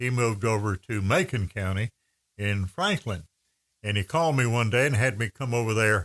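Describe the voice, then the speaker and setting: A man with an Appalachian accent talks at a medium pitch and a moderate pace. The recording is very clean and silent in the background, with a dry, close sound and no echo. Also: ordinary pitch variation. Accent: Appalachian Southern US. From Western North Carolina (Andrews). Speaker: radio host. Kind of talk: casual chat.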